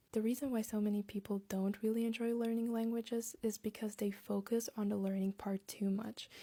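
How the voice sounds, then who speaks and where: A woman with a Latvian accent speaks at a fairly quick pace, with hardly any pauses and very even loudness. Her voice is fairly high, somewhat breathy and dark and mellow in tone, with a monotone, flat intonation. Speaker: language-learning content creator. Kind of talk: casual vlog talk with tips.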